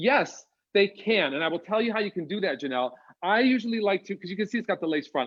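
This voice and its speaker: A man with an American accent talks in an animated tone with lively intonation. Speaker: wig designer and stylist. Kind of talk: live product demo chat. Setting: live stream video call.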